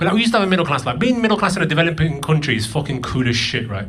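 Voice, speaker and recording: Talking at a very fast pace, a man swings his pitch very widely, with noticeable background noise and audible room echo. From northern England, Burnley (Lancashire), moved from Pakistan at eight. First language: Punjabi. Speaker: comedian. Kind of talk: stand-up. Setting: stage with audience.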